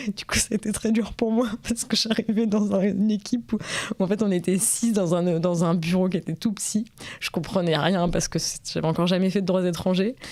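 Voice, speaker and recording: This woman talks at a fairly quick pace in a medium pitch, with ordinary pitch variation. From rural France. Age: 20s. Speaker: interviewee. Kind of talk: interview testimony. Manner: halting, many hesitations.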